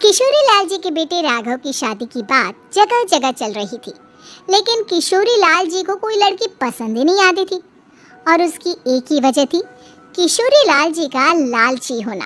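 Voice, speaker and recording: A cartoonish character voice sits at an extremely high pitch with very wide pitch swings. It moves at a moderate pace. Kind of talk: children's moral story narration.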